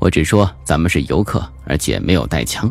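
With music in the background, a man speaks at a moderate pace in a very deep, low pitch. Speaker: audiobook narrator. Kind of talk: audiobook narration of a horror suspense novel. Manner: varied, expressive delivery.

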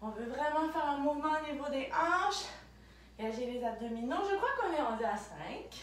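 Her high pitch moves in very wide swings as a woman speaks at a moderate pace, with audible room echo. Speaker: fitness instructor. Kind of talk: workout instruction. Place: home room. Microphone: camera far.

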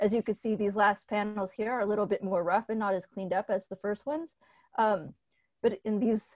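Against a quiet background, a woman speaks at a fairly quick pace. Her intonation stays fairly even. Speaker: panelist. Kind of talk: panel presentation. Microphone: video call.

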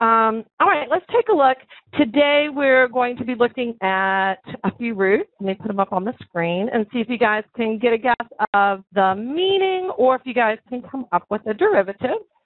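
A woman speaks at a moderate pace against a quiet background, the sound dry with no echo. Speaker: online teacher. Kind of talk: lecture. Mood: encouraging, upbeat. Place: home room. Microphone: headset.

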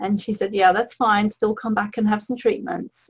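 The woman's voice sits fairly high. It is somewhat breathy. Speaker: holistic health coach. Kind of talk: webinar presentation.

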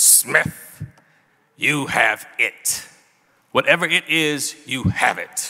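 A man speaks in a raspy, put-on character voice pitched fairly high. He goes very slowly, with long pauses coming often.

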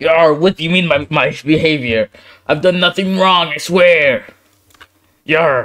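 Using a put-on character voice with a high pitch, a man talks at a fairly slow pace with long, frequent pauses. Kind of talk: comic overacting. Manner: defensive then pleading.

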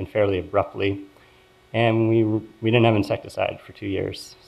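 A man with an American accent, monotone and flat in intonation, at a fairly quick pace. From US Northeast, Philadelphia. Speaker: epidemiology professor. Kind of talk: lecture. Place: hall. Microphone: podium.

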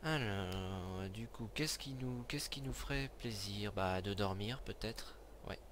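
In a room with audible echo, a man speaks fairly slowly at a fairly low pitch with lively intonation. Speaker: gaming video creator. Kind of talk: let's play commentary. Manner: animated. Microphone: new headset mic, being tested.

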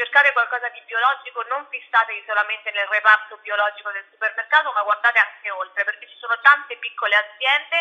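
A woman speaks very fast in a fairly high pitch, with ordinary pitch variation. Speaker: journalist and blogger. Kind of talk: radio interview, casual chat. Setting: online radio interview. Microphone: phone near.

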